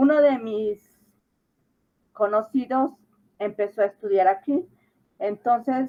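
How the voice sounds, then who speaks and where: A woman with a normal speaking voice talks at a fairly slow pace. Her pitch is fairly high, with ordinary pitch variation. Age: 60s. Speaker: adult high school graduate. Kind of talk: interview.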